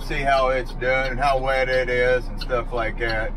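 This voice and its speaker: A man's fairly slow speech with ordinary pitch variation over noticeable background noise. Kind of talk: casual vlog chat. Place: car. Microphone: phone near.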